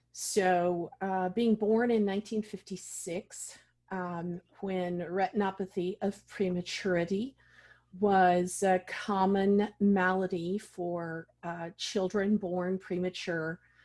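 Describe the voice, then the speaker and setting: Against a quiet background, a woman talks very slowly at a medium pitch, her intonation flat and monotone. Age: 60s. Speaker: vision loss specialist and advocate. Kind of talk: interview.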